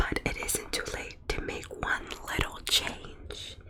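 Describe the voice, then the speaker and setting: A woman whispers in a calm tone at a very slow pace. Background noise is noticeable. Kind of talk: ASMR roleplay storybook reading to help sleep. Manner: calm, soft-spoken.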